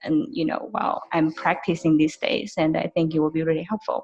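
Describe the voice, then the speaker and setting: This woman speaks with a non-native accent. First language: not English. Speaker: network marketing associate. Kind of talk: team call testimony. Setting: video call. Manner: halting, many fillers.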